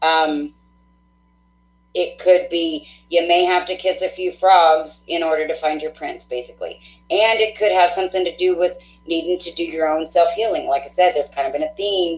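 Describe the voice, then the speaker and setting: In an Oklahoma accent, a woman speaks at a moderate pace. Her pitch is fairly low, and her intonation fairly even. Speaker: tarot reader. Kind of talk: live-stream tarot reading.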